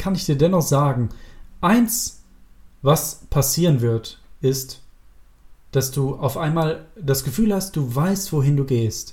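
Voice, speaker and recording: With a dark, mellow tone and a somewhat breathy edge, a man speaks at a fairly slow pace in a fairly high pitch with lively intonation. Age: 30s. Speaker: self-improvement podcast host. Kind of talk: solo podcast monologue. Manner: casual with filler words.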